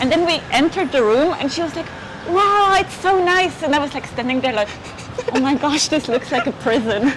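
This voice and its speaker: The speaker has a Swiss German accent and lively intonation at a fairly quick pace. Noticeable background noise sits under the voice. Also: woman, high pitch for a woman. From German-speaking Switzerland. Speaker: law student and German teacher. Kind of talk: casual interview chat.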